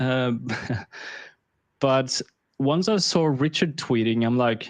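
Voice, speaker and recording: Against a quiet background, a man with a slight Swedish accent talks at a fairly slow pace and a medium pitch. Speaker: crypto investor. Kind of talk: casual interview.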